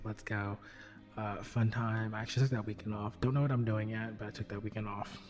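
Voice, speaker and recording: The speaker is soft-spoken, with music playing in the background. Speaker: astrology and intuition podcast host. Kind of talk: casual astrology forecast monologue. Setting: at home at night. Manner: quiet, soft; hesitant, many fillers.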